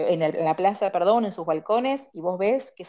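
A woman speaks in a Rioplatense accent at a moderate pace. Her tone is dark and mellow. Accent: Argentine Rioplatense Spanish. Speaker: dermatologist. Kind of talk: interview.

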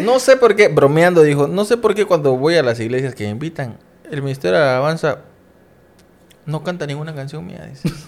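With very wide swings in pitch, the speech moves along at a fairly quick pace. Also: man, fairly high pitch for a man. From Mexico, Coatzacoalcos, Veracruz. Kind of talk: casual interview chat.

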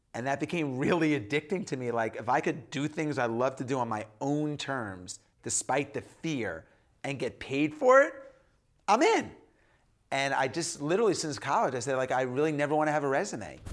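In a plain, everyday voice, a man with a fairly high pitch and ordinary pitch variation speaks at a moderate pace on a very clean recording with a silent background. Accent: American. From US Northeast, New York. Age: 40s. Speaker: entrepreneur and author. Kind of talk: casual interview chat.

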